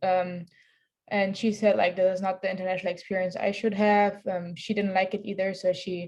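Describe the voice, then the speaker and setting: Against a quiet background, a woman with a German accent talks at a fairly quick pace in a medium pitch. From Germany. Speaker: student athlete. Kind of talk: panel discussion.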